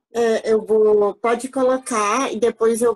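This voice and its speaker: Recorded with a dry, close sound and no echo, a woman speaks at a very slow pace and a fairly high pitch, her intonation fairly even. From Brazil, Mato Grosso do Sul, Guarani village. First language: Guarani (speaking French). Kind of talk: lecture talk. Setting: video call. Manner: halting, many fillers.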